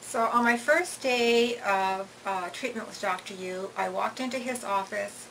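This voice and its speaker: A woman talks at a fairly slow pace with ordinary pitch variation. Noticeable background noise runs behind her. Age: 60s. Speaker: patient giving a testimonial. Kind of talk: testimony. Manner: hesitant, many fillers.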